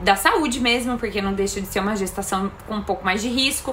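Noticeable background noise and audible room echo fill the recording. Through them comes a woman's voice. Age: 30s. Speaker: mother of twins, personal trainer. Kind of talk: recorded testimony.

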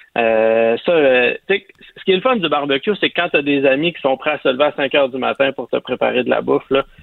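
A man talks at a fairly quick pace in an ordinary speaking voice. His pitch is fairly high, with ordinary pitch variation. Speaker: barbecue chef. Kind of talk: casual chat.

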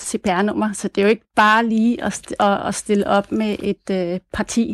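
Recorded dry and close with no echo against a quiet background, a woman has a normal speaking voice with fairly high pitch and fairly even intonation. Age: 40s. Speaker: nurse, listener panelist. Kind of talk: radio phone-in discussion.

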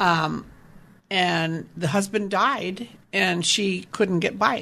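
This woman's voice sits at a fairly low pitch. Vocal fry runs through it. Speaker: reverse mortgage specialist. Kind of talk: radio interview about retirement finance. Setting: radio show.

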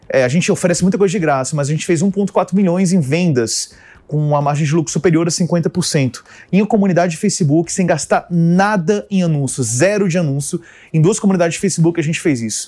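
Fairly quick speech comes from a man with a high pitch. His tone is dark and mellow, and his pitch varies in an ordinary way. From Brasília, Brazil. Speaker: tech tools specialist and community founder. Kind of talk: casual interview. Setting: radio studio.

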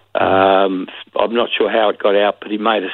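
Monotone, flat intonation from a man in an Australian accent. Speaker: former police detective. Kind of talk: interview. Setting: phone call.

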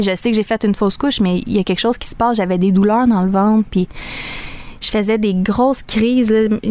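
Talking at a very fast pace, a woman speaks at a medium pitch. Her intonation stays fairly even. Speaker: young mother. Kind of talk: interview testimony. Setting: studio.

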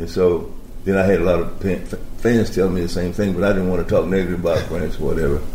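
Very deep and low in pitch, a man rattles along at a very fast pace in a monotone, flat manner. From US South. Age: 80s+. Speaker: former basketball player. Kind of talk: interview.

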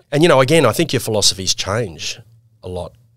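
A man with an Australian accent talks at a fairly quick pace with lively intonation in a very clean recording with a silent background. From Queensland, Australia. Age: 50s. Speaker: financial services executive. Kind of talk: casual interview.

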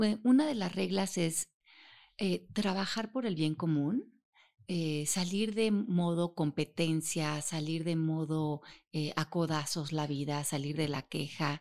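Over a quiet background, a woman talks at a very slow pace. Her fairly low pitch shows ordinary pitch variation. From Mexico. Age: 50s. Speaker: author and self-knowledge teacher. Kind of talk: interview.

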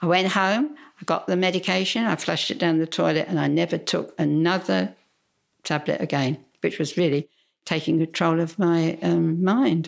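A woman speaks at a moderate pace with lively intonation and a fairly low pitch, her loudness very even. The recording is very clean with a silent background. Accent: Cockney. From London, England. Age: 90s. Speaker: churchgoer sharing faith story. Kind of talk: testimony. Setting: at a house.

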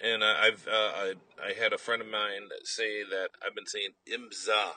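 Speaking at a fairly slow pace, a man talks with a Wisconsin accent. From Wisconsin, Milwaukee. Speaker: radio sports host. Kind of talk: radio interview. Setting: at a racetrack.

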